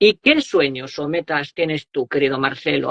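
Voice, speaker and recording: A man with a fairly high pitch speaks with vocal fry. His pace is fairly slow. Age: young. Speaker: interviewer. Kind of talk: interview.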